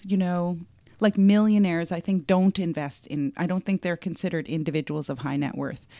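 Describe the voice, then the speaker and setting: A woman speaks in a normal speaking voice at medium pitch, moderate pace and lively intonation. The sound is dry and close with no echo, on a very clean recording with a silent background. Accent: Canadian. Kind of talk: casual chat.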